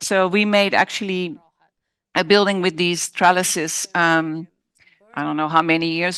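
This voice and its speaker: Speaking in a Dutch accent, a woman talks at a moderate pace with fairly even intonation and a fairly low pitch, in a dry, close sound with no echo. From Netherlands. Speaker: architect. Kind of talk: design presentation Q&A. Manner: halting, self-correcting.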